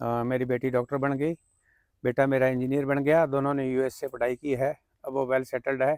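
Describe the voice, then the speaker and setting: The sound is dry and close with no echo as a man speaks at a medium pitch in a monotone, flat intonation. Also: moderate pace, very clean recording, silent background. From Haryana, Fatehabad district (Punjab border). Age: 60s. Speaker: farmer and civil engineer. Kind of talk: interview.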